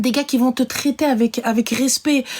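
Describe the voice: A woman speaks at a moderate pace in a high voice. Her tone is slightly mellow. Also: fairly even intonation.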